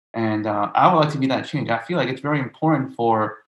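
A man talks in a normal speaking voice with an American accent. His pitch variation is ordinary. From New York City (Brooklyn). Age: 20s. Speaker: middle school teacher. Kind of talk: casual discussion.

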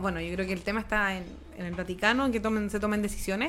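Talking at a very fast pace, a woman speaks with a Chilean accent. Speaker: radio host. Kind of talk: casual chat.

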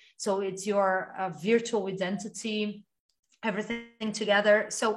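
A woman speaks at a moderate pace in a fairly high voice. She sounds somewhat breathy. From Brazil. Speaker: podcast host. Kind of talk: interview.

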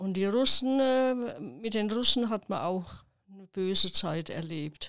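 Very slow and bright, sharp in tone, a woman speaks at medium pitch with ordinary pitch variation. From southern Thuringia, Milz near the Bavarian border. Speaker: retired village office clerk, eyewitness. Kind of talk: oral history interview. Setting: studio, seated beside host.

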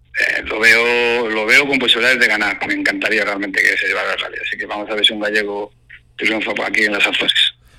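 Noticeable background noise runs under a man's very fast speech. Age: 40s. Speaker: rally driver. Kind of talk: phone interview.

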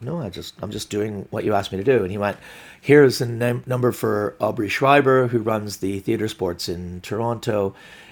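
A man talks fairly quickly in an unremarkable speaking voice, his medium pitch moving with ordinary variation. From Glasgow, Scotland, and Canada. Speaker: stand-up comedian. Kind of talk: casual interview.

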